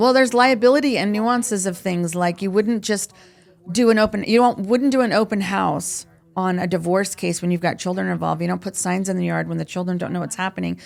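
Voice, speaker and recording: Very fast talking carries ordinary pitch variation throughout. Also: woman. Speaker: real estate agent. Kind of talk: interview. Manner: high energy.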